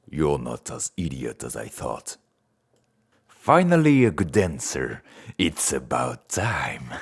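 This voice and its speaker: A man puts on a character voice with very deep, low pitch and lively intonation. He speaks at a very slow pace with long, frequent pauses and big swings in loudness. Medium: voice reel. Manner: menacing, taunting.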